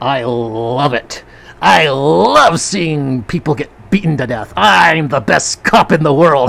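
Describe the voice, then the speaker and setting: At low-to-middle pitch, someone puts on a character voice and talks at a fairly slow pace. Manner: gruff, callous.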